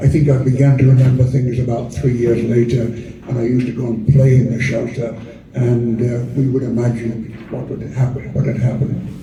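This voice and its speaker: In a room with audible echo and noticeable background noise, a man speaks fairly quickly at a medium pitch with monotone, flat intonation. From northern England, Sheffield, Yorkshire. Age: 80s+. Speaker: architecture professor and author. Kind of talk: talk. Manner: halting, many hesitations and repetitions.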